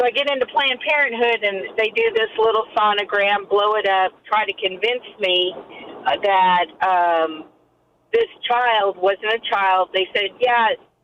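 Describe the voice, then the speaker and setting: In a normal speaking voice, the speaker goes at a fairly slow pace with very even loudness and ordinary pitch variation. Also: woman, fairly high pitch for a woman. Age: 50s. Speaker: caller. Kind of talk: personal testimony.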